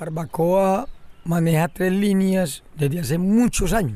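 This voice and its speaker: Speaking fairly slowly, a man uses a high-pitched voice with a dark, mellow tone. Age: old. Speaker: fisherman and environmental leader. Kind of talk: interview testimony.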